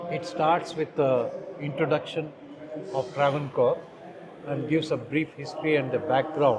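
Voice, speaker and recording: In a room with audible echo and noticeable background noise, a man talks at a moderate pace with long, frequent pauses. His pitch is fairly high and his intonation fairly even. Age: 60s. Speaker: stamp collector. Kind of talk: exhibit walkthrough. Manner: halting.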